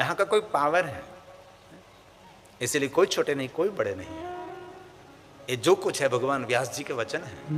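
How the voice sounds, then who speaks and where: Music plays in the background as a man with a Gujarati accent speaks at a moderate pace with lively intonation, big swings in loudness, and long, frequent pauses. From Gujarat, India (Saurashtra). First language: Gujarati (speaking Hindi). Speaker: spiritual preacher, katha storyteller. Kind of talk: religious discourse (Shiv Purana katha).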